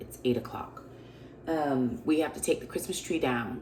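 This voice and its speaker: The pitch moves in an ordinary way, and noticeable noise sounds in the background. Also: woman. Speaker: vlogger and preacher. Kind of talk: casual talk to camera.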